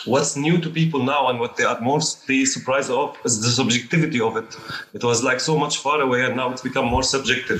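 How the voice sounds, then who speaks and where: Very fast male speech at a medium pitch, fairly even in intonation, with noticeable background noise. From Syria. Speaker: documentary filmmaker. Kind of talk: panel discussion.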